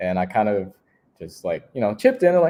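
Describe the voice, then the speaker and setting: A man with a Vietnamese accent and a dark, mellow tone. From Houston, Texas. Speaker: recreation staff member. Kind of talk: interview storytelling. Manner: casual with many fillers.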